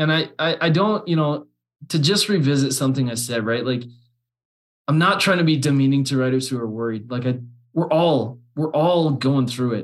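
A man with a Canadian accent speaks at a moderate pace in a plain, everyday voice. His pitch is fairly high, with ordinary variation. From Alberta, Canada. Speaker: copywriter and business founder. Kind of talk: casual chat.

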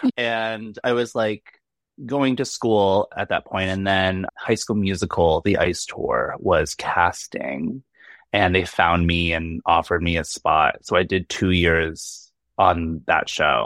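A man speaks at a very slow pace in a very deep, low voice with ordinary pitch variation. The sound is dry and close with no echo, over a quiet background. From Boston. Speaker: comedian and figure skater. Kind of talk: casual chat.

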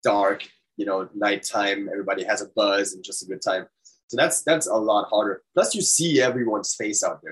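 This man talks at a moderate speed. He has a German accent. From Germany. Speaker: death metal musician. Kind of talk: casual interview. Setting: video call.

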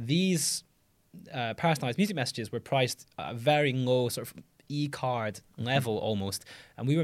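Over a silent background in a very clean recording, a man with a plain, everyday voice talks at a fairly quick pace and medium pitch, with ordinary pitch variation. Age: 20s. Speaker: startup founder and CEO. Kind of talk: interview.

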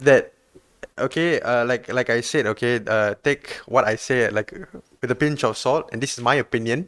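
Here a man speaks with a Malaysian accent at a moderate pace and medium pitch. His intonation is fairly even, and the sound is dry and close, with no echo. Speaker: podcast host. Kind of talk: casual chat.

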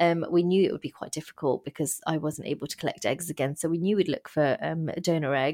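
A woman with a dark, mellow tone talks at a very fast pace with hardly any pauses. Her intonation stays fairly even, and the sound is dry and close with no echo. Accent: English. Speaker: guest sharing fertility journey. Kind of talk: testimony.

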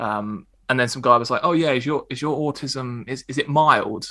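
A man with an Essex accent speaks in a bright, sharp tone with ordinary pitch variation. The recording is very clean, with a silent background. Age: 30s. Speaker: stand-up comedian. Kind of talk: interview.

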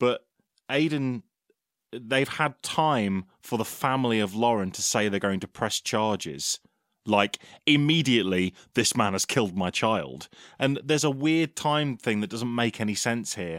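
The sound is dry and close, with no echo. A man with an ordinary speaking voice at medium pitch talks at a fairly slow pace with lively intonation. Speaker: podcast co-host. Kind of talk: casual podcast banter.

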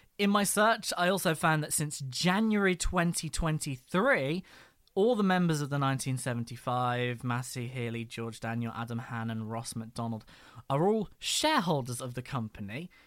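Fairly slow with lively intonation, a man speaks in an unremarkable speaking voice at a fairly high pitch, on a very clean recording with a silent background. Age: 20s. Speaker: podcast co-host. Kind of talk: scripted narration; casual chat.

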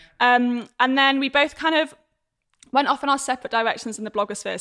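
With a British accent and a bright, sharp tone, a woman speaks at a fairly quick pace with ordinary pitch variation on a very clean recording with a silent background. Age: 20s. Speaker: entrepreneur and content creator. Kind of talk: casual chat.

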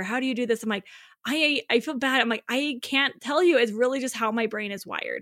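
Bright and sharp, a woman's high-pitched, raised, projected voice moves at a fairly quick pace with ordinary pitch variation over a very clean recording and a silent background. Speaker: author. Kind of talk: casual chat.

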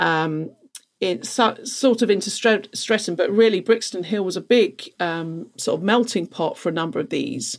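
A woman's medium-pitched voice with a London accent. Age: 40s. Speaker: events production manager. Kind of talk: casual chat.

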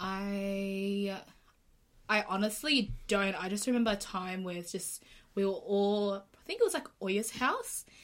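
This woman has a plain, everyday voice at a medium pitch. She talks at a fairly slow pace with fairly even intonation. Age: 20s. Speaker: podcast guest. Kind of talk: casual chat.

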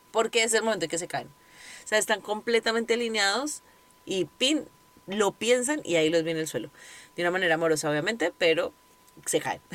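A woman talks at a fairly quick pace in a plain, everyday voice, with a medium pitch and lively intonation. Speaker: podcast host and yoga teacher. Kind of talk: casual monologue. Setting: recording in her closet.

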